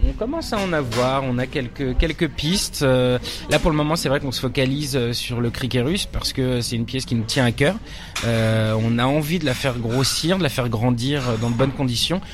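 Against noticeable background noise, a man speaks at medium pitch and a moderate pace with ordinary pitch variation. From Paris suburbs, Nanterre. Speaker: stage director and actor. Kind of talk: interview. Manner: halting, many hesitations.

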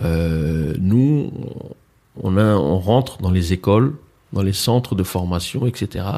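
Speaking with a fairly low pitch and a dark, mellow tone, a man uses ordinary pitch variation. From France, Mantes-la-Jolie (Paris suburbs). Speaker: entrepreneur and event organiser. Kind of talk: casual interview.

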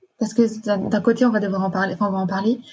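At a very fast pace, a woman speaks somewhat breathily in a dark, mellow tone, with medium pitch and monotone, flat intonation. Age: 20s. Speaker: nurse. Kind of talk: personal testimony. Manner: halting.

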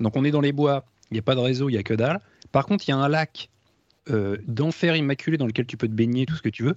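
Here a man with a plain, everyday voice speaks at a fairly quick pace and fairly high pitch, with lively intonation and a dry, close sound with no echo. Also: quiet background. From France. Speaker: guitarist. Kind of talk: casual chat.

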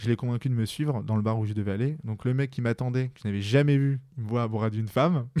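A man's medium-pitched voice, dark and mellow in tone, with fairly even intonation, a very fast pace and hardly any pauses. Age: 20s. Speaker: podcast guest, single man who practices street pickup. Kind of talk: casual interview conversation. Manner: halting, many hesitations and repetitions.

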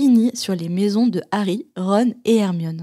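The woman talks very slowly, her pitch medium and its variation ordinary. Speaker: podcast host. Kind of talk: casual chat.

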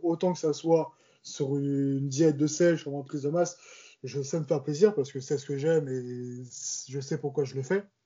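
Fairly high, somewhat breathy male voice at a moderate pace with fairly even intonation. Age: 20s. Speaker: amateur bodybuilder. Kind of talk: casual chat.

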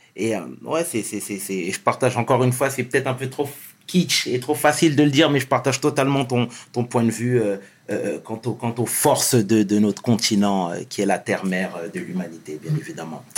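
A man's ordinary speaking voice, medium in pitch, at a moderate pace with lively intonation. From Senegal. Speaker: YouTube interview show host. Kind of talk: interview.

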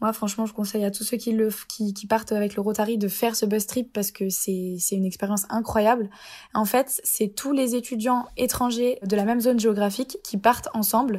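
This woman's fairly high voice has a dark, mellow tone and is somewhat breathy. Her intonation is monotone and flat, at a moderate pace. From Lorraine, France (Épinal, Vosges). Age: 20s. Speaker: student. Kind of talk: casual interview.

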